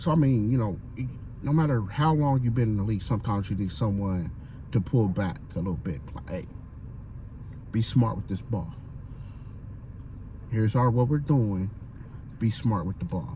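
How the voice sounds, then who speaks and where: A man with a dark, mellow tone and fairly low pitch talks at a moderate pace, with lively intonation. He sounds somewhat breathy and leaves long, frequent pauses. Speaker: sports fan vlogger; military veteran. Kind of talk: casual monologue vlog. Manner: halting, stuttering.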